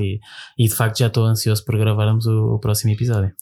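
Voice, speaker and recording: On a very clean recording with a silent background, a man speaks. His medium-pitched voice is somewhat breathy. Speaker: podcast co-host. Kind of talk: casual chat.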